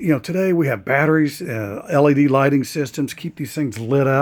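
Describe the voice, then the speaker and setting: A man's fairly high voice moves at a moderate pace with ordinary pitch variation. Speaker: RV vlogger. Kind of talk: casual video tour narration. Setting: indoors in a museum. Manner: hesitant, many fillers.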